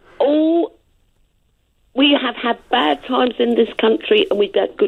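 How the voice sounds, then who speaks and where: This woman has a high-pitched voice and speaks with an English accent. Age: 70s. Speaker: caller. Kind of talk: heated debate. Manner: animated.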